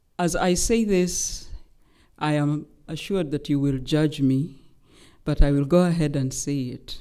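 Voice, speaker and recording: A woman with a Kenyan accent speaks at a fairly slow pace, with long, frequent pauses. Her pitch is very deep and low, with ordinary variation and a dark, mellow tone. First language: Luhya. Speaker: human rights lawyer. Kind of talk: public lecture. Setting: lecture hall with audience. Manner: formal.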